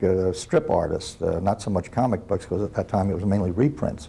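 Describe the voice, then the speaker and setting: Fairly low in pitch, a man speaks with an American accent and a dark, mellow tone. His intonation is fairly even. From US South (Georgia), then New York from age eight. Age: 70s. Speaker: retired comic book artist. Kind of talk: interview. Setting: on set on Long Island. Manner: hesitant, with frequent fillers.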